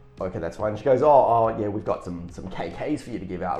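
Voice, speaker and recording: Music plays in the background as a man speaks in an animated tone. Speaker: podcast co-host; works as a Santa Claus performer. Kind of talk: casual chat.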